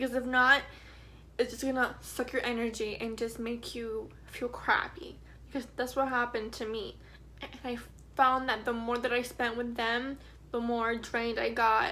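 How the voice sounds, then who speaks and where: A woman speaks in a high, flat monotone at a moderate pace. The room echo is easy to hear. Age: 20s. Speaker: vlogger. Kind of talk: personal testimony. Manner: halting.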